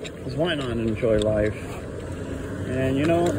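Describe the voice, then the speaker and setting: A man's voice comes through dry and echo-free amid loud background noise. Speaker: channel host. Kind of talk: casual vlog chat. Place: street. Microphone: phone near.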